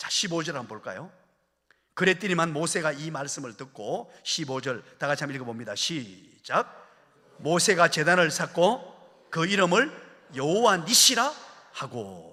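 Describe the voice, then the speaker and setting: A man with a bright, sharp, fairly high voice and vocal fry speaks fairly slowly, his pitch swinging very widely and his loudness shifting a lot. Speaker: guest revival preacher, senior pastor. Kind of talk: sermon. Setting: church revival meeting with congregation. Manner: emphatic, exhorting.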